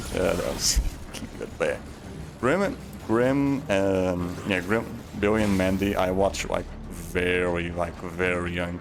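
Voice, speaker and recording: Through noticeable background noise and audible room echo, a man with a very deep, low pitch speaks at a fairly slow pace with ordinary pitch variation and long, frequent pauses. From Portugal. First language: Portuguese. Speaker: game streamer. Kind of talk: casual live-stream commentary. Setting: live stream while gaming. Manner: halting, many restarts and fillers.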